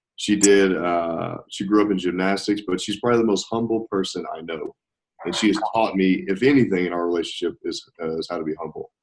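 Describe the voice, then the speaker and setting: With a Southern US accent, a man speaks at a fairly low pitch and with fairly even intonation. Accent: Southern drawl. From US South. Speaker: nurse. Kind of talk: interview.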